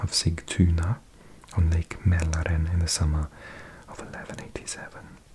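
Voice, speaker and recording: Noticeable background noise accompanies a man whose voice is very deep and low in pitch. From South Wales. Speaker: ASMR creator. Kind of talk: ASMR reading of encyclopedia article as sleep aid. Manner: soft-spoken or whispered, slow.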